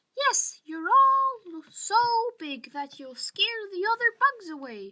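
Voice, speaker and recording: A woman puts on a squeaky character voice at an extremely high pitch, with very wide pitch swings. She talks at a fairly slow pace. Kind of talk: bedtime story. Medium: read story.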